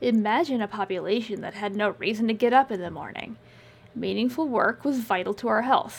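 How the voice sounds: The voice reads naturally. Pitch moves in an ordinary way.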